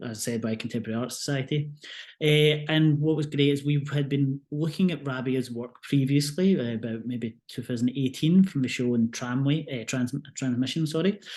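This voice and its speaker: Against a quiet background, a man with a Scottish accent speaks at a moderate pace in a dark, mellow tone, with a medium pitch and fairly even intonation. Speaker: museum curator. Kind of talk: online art talk presentation.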